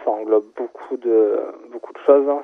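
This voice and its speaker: A man speaks at a medium pitch. Background noise is noticeable throughout. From Marseille, southern France. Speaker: sneaker retail manager. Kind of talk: radio interview. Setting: phone call.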